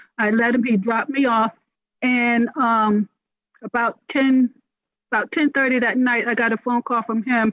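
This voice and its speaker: A woman speaks with an American accent and a high pitch. Her pace is moderate. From US South. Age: 60s. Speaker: testifying citizen. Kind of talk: testimony. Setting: congressional hearing. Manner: halting, many fillers. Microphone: too far from the microphone at first.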